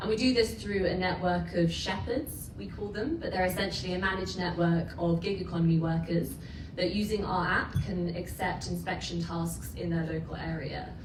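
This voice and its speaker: With an English accent and a fairly low pitch, a woman speaks at a moderate pace with hardly any pauses and ordinary pitch variation, over audible room echo and noticeable background noise. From England. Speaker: startup founder. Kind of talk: startup pitch.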